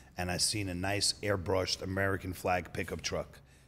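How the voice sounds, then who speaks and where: The speaker has a New York accent and fairly even intonation. The recording is very clean, with a silent background. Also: man. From New York City. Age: 30s. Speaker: auto body shop owner. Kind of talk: podcast interview. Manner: casual storytelling.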